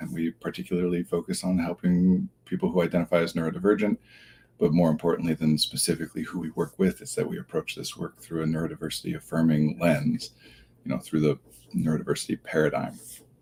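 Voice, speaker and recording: Quiet and very fast, a man talks with a dry, close sound and no echo. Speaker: therapist hosting a livestream. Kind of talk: casual livestream talk.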